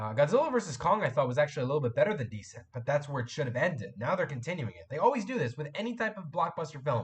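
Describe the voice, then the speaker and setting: Somewhat breathy, the voice makes very wide pitch swings and big swings in loudness. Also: man. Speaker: YouTube live streamer. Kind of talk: live stream chat. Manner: casual, halting with fillers.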